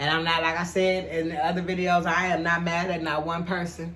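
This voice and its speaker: With a flat, monotone delivery, a woman speaks in a fairly low pitch while audible room echo surrounds her. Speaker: YouTuber and caterer. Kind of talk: casual vlog talk.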